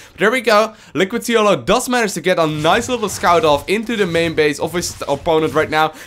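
An animated man's high-pitched voice at a fairly quick pace, lively intonation, hardly any pauses, and music in the background. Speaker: esports commentator. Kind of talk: live esports commentary on a StarCraft 2 match, play-by-play. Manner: animated, quick play-by-play, reacting to each move as it happens; casual, chatty, with fillers and hedges like 'um' and 'if I'm not mistaken'.

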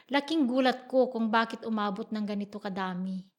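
In a very clean recording with a silent background, a woman with a plain, everyday voice speaks at a moderate pace, fairly high in pitch, with fairly even intonation. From Philippines, Iba, Zambales. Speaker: farmer and church treasurer. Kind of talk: testimony.

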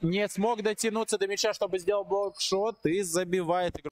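Recorded dry and close with no echo, a man speaks in a high pitch with an animated tone. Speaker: sports commentator. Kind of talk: live basketball commentary over video highlights. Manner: animated, excitable, with frequent 'ой-ой-ой' exclamations.

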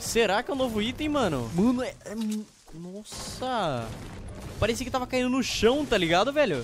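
Sounding excited, a man speaks at an extremely high pitch and moderate pace with lively intonation and long, frequent pauses. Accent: Brazilian. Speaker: gaming youtuber. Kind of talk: gameplay commentary.

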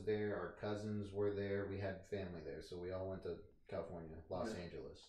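Audible room echo surrounds a man whose fairly low, dark and mellow voice keeps a monotone, flat intonation. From Tennessee, Nashville; Tennessee. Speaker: interviewee. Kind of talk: casual chat. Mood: relaxed, casual. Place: home room.

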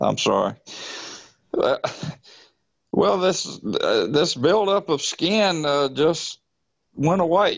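A man with a Southern US accent talks at a very slow pace with long, frequent pauses. His loudness stays very even. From US South. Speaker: product user with PTSD. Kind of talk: testimonial. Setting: online call. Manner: halting.

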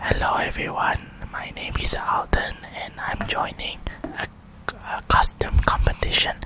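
A man whispers fairly slowly, with long pauses coming often. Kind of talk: casual vlog chat. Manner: soft ASMR-style close-mic voice. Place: home room. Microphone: studio mic.

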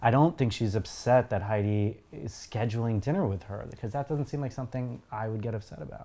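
With hardly any pauses, a man talks at a fairly quick pace and with ordinary pitch variation. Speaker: co-host of a TV reaction series; co-host reacting to show. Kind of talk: casual chat. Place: home room.

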